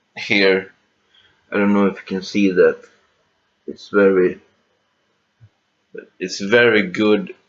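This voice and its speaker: A man with a non-native accent and a fairly low pitch speaks very slowly in a monotone, flat intonation, with long, frequent pauses. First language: not English. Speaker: guitar hobbyist youtuber. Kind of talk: casual gear rundown video. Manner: halting, many fillers and restarts.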